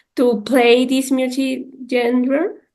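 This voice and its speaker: A woman with a Spanish accent talks at a very slow pace and a high pitch. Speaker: interviewer. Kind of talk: interview.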